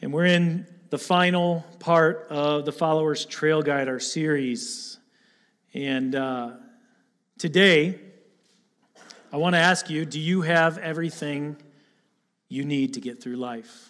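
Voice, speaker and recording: Speaking at a very slow pace with long, frequent pauses, a man with a Michigan accent and a fairly high pitch uses ordinary pitch variation. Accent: Midwestern American (Michigan). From Michigan (Lapeer area, Attica). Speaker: pastor candidate. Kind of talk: sermon. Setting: church.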